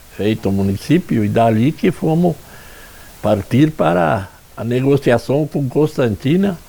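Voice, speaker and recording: A man speaks at a very slow pace in a medium pitch with lively intonation. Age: 80s+. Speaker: local elder, town founder. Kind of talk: interview testimony.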